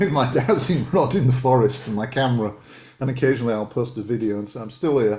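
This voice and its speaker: A man's very fast speech at a medium pitch, somewhat breathy, with a dark, mellow tone and ordinary pitch variation. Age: 60s. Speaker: author and dowser. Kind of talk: casual interview chat. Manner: hesitant, many repetitions.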